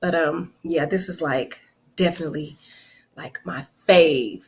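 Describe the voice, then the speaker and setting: A woman is speaking. Her pace is fairly slow. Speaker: self-help coach. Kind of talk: casual talk to camera. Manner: chatty, informal.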